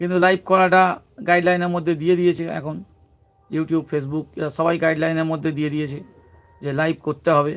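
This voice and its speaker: A man with a fairly high pitch talks in a monotone, flat intonation. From West Bengal, South 24 Parganas. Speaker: comedy YouTuber. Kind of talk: casual live-stream chat. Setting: live stream.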